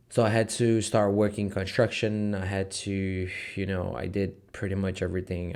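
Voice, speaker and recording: Very deep and low, a man's voice with a slight Brazilian accent moves at a fairly slow pace with monotone, flat intonation. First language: Portuguese. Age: 20s. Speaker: online entrepreneur vlogger. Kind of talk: casual vlog talk to camera. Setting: office. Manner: hesitant, many fillers.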